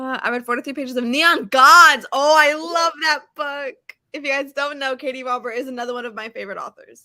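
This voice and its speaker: A woman speaks fairly quickly in a high, bright, sharp voice with fairly even intonation. She projects with a raised voice, and her loudness swings widely. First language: Portuguese. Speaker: book youtuber. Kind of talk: casual chat. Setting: live stream.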